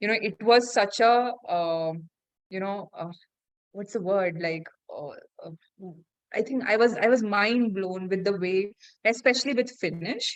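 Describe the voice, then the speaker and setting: In a Keralan accent, a woman speaks at a fairly slow pace with long, frequent pauses, a medium pitch, ordinary pitch variation and big swings in loudness. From India. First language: Malayalam. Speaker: podcast host. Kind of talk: casual interview chat. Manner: halting, many fillers.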